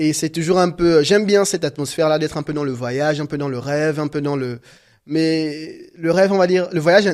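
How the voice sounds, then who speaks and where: The speaker has a Gabonese accent. The pace is fairly quick and the intonation fairly even. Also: man. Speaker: painter. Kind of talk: interview. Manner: halting, many fillers and repetitions.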